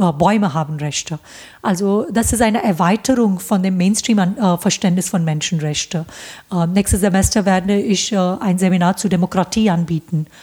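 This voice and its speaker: A woman with an Indian accent speaks at a moderate pace in a dark, mellow, somewhat breathy tone, her pitch varying in an ordinary way. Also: medium pitch for a woman. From India, Bombay. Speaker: professor. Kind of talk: interview. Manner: hesitant, many fillers.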